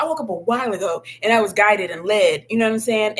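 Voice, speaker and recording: A woman's fairly high, animated voice against noticeable background noise. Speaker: spiritual content creator. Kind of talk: livestream monologue. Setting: live video stream.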